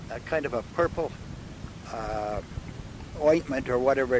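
Over noticeable background noise, a man talks at a moderate pace with ordinary pitch variation. The sound is dry, with no echo. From Manitoba, Canada. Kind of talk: oral history interview answer. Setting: in a car. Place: car.

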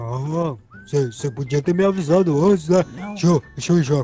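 With music in the background, a man puts on a cartoonish character voice at a fairly high pitch. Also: moderate pace. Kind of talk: comic cartoon voice acting. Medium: machinima.

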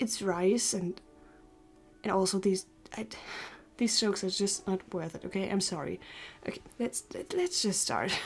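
Over faint background music, a woman speaks at a moderate pace with ordinary pitch variation and long, frequent pauses. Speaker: youtuber. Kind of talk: casual talk to camera. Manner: stuttering. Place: home room.

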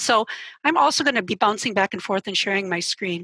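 A woman talks at a very fast pace in a bright, sharp tone with ordinary pitch variation. The sound is dry with no echo, over a quiet background. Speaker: journalism professor; instructor presenting in an online training session. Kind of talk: software tutorial. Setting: video call. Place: home room. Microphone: headset.

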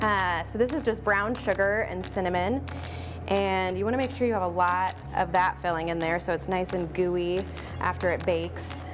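A woman talks at a moderate pace with faint music in the background. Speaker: baker demonstrating recipe. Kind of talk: tutorial. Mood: friendly, upbeat. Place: shop.

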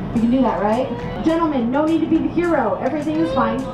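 Clear music runs behind a woman as she talks. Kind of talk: announcement to passengers. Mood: playful, joking. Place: train. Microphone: camera far.

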